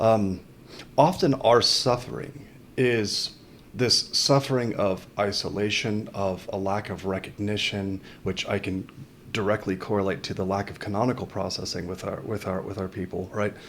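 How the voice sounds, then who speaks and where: A man speaks at a moderate pace in a fairly low voice, with ordinary pitch variation. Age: 40s. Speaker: podcast host. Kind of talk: podcast interview. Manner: halting, many repeated words.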